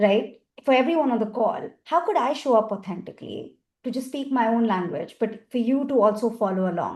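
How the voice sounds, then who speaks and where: A woman speaks with an Indian accent at a fairly quick pace. Her voice is high-pitched with lively intonation. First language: Hindi. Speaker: accessibility industry expert, panelist. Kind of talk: panel discussion. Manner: animated.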